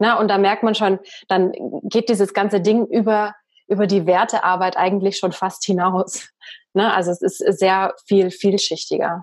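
A woman speaks in a flat monotone at very even loudness. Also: medium pitch for a woman, moderate pace. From Bavaria, Germany. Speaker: podcast host and coach. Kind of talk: interview conversation. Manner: trained speaking from acting school.

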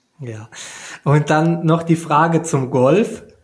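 The man's voice is fairly high in pitch. He speaks at a very slow pace. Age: 30s. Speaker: podcast host, triathlete. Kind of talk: casual interview.

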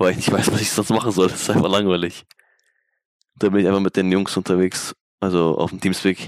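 A man speaks with a very deep, low pitch in a monotone, flat intonation. His pace is fairly quick, broken by long, frequent pauses. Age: 20s. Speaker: esports player. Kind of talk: casual interview.

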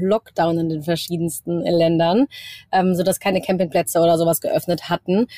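A woman in a plain, everyday voice speaks at a moderate pace with ordinary pitch variation, and the sound is dry and close with no echo. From Germany, Cologne. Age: 20s. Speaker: travel influencer. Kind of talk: casual interview. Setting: video call from her van.

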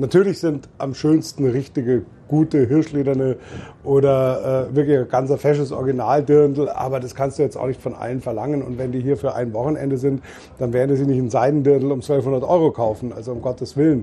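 A man at medium pitch and a fairly quick pace, with fairly even intonation, amid noticeable background noise. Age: 50s. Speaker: beer tent landlord. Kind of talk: casual chat. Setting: in a festival tent.

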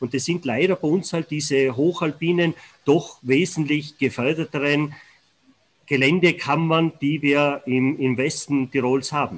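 A man uses an ordinary speaking voice at a fairly high pitch. His pace is fairly slow and his intonation fairly even. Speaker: avalanche warning expert. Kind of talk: interview. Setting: remote connection.

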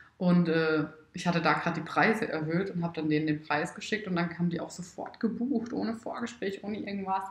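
A woman speaks at a very fast pace in a fairly low pitch with ordinary pitch variation. Noticeable background noise runs under her voice. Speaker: wedding photographer and entrepreneur. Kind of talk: casual interview. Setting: at her home. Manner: loud at times.

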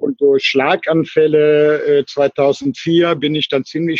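Very slow, monotone, flat speech in a dry, close sound with no echo. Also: man. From Germany, Cologne. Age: 60s. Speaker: retired traveller living in a motorhome. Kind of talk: casual interview. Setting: remote call over the internet. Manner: halting, with many fillers and repetitions. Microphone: weak internet connection, dropout midway.

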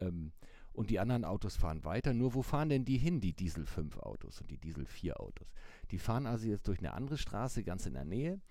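Very fast and fairly low-pitched, a man's dark, mellow voice carries vocal fry and very wide pitch swings. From Hamburg, northern Germany. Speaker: newspaper editor, mobility expert. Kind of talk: interview.

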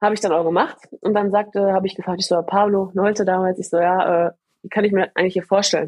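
A woman at a medium pitch, talking at a very fast pace in monotone, flat intonation. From Ruhr area, Germany (Gladbeck). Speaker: bobsleigh athlete. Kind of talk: interview.

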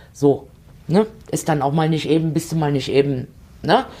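A woman talks at a moderate pace in a fairly low voice with a dark, mellow tone. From eastern Germany. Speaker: podcast host, politician and elderly-care nurse. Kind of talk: casual chat.

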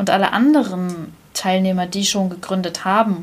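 This woman's voice is somewhat breathy. Her pitch sits in the medium range. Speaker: podcast host. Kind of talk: casual chat.

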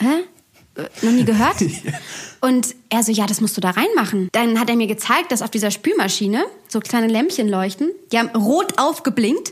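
A woman's fairly high voice with lively intonation, a moderate pace, and long, frequent pauses. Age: 20s. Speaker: podcast co-host. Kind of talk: casual chat.

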